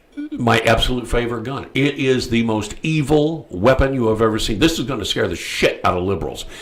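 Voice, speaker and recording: Noticeable background noise runs through the clip. The room echo is audible. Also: man. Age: 60s. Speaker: talk show host. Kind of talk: casual chat. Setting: studio. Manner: halting, many fillers.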